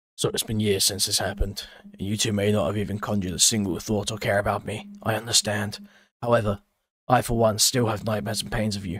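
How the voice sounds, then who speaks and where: Doing a put-on character voice, a man speaks very fast in a raspy, fairly low, serious tone with flat, monotone intonation. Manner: serious, somber.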